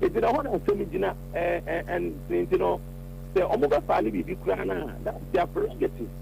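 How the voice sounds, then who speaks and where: A man speaks at a fairly quick pace with a non-native accent. Noticeable background noise runs under his voice. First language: not Twi. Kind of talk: radio talk show interview. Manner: halting.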